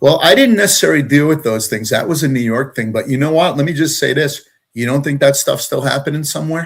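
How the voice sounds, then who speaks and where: Somewhat breathy, a man speaks at a very fast pace. His pitch is fairly high with ordinary variation. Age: 60s. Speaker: retired deputy fire chief. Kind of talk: interview. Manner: halting, many fillers.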